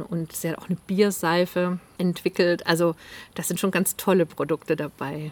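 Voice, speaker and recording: Her voice sits fairly low in pitch for a woman. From Swabian Alb, Germany (Zollernalb area). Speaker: author. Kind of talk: casual interview. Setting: at the guest's home.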